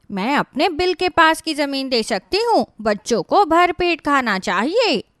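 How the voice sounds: A high, female-sounding cartoonish character voice with very wide pitch swings at a moderate pace, in a very clean recording with a silent background.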